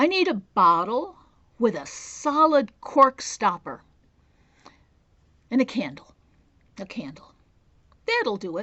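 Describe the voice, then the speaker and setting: Putting on a character voice, a woman speaks fairly slowly and fairly high, her pitch swinging very widely between long, frequent pauses. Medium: read story. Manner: casual, folksy.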